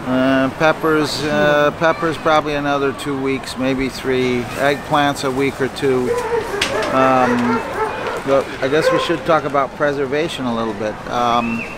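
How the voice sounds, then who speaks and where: A man speaks at a fairly slow pace, the sound dry with no echo. Loud background noise fills the recording. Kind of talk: casual market update. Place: market.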